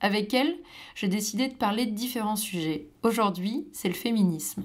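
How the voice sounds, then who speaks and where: In a very clean recording with a silent background, a woman with a fairly high, somewhat breathy voice talks at a moderate pace with lively intonation. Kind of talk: podcast host conversation.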